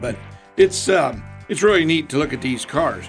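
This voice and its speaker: Music plays in the background. The speaker, with an American accent, has lively intonation. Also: man. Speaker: auctioneer. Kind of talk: radio interview answer.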